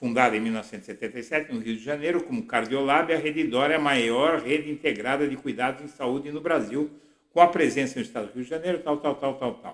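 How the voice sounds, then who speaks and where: A man talks at a fairly quick pace in a fairly high voice with ordinary pitch variation. It is a plain, everyday voice. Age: 60s. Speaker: political blogger. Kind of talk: political commentary monologue.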